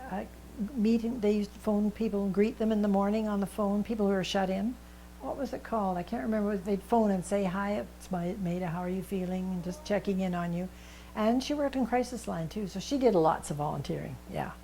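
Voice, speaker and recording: Somewhat breathy, the voice moves at a fairly quick pace with a western Canadian accent. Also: woman, medium pitch for a woman, ordinary pitch variation. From British Columbia, Canada (Vernon area). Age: 80s+. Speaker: senior volunteer. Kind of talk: interview.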